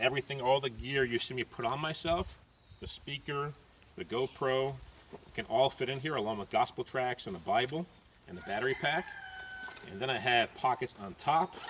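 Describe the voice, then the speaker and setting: Pausing long and often, a man talks while noticeable background noise continues. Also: medium pitch for a man, ordinary pitch variation, moderate pace. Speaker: street preacher, evangelist. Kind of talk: casual talk to camera, gear tutorial.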